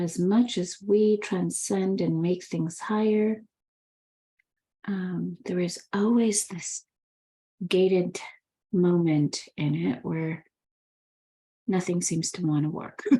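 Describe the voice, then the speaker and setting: The voice is somewhat breathy, moving at a very slow pace with fairly even intonation and long, frequent pauses. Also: woman, medium pitch for a woman. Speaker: spiritual business mentor. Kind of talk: live stream talk.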